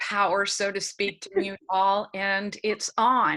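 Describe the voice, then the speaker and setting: Speaking very slowly in a Pennsylvania accent, a woman uses a fairly high pitch and a bright, sharp tone. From Pennsylvania, US. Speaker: early education trainer. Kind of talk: webinar presentation. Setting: video call.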